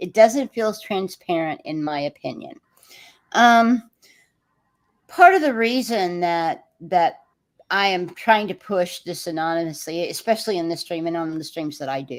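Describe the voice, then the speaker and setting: In a very clean recording with a silent background, a woman with an American accent and a plain, everyday voice talks at a fairly slow pace and fairly low pitch, her intonation lively. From Texas. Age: 60s. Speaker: livestream host. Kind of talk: livestream discussion.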